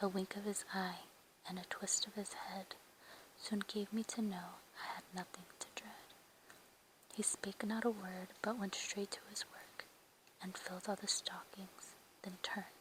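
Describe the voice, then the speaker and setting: A woman whispering in a gentle tone, with long, frequent pauses. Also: fairly slow pace. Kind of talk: whispered ASMR poetry reading. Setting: quiet indoor, page flips. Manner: whispered, soft, gentle.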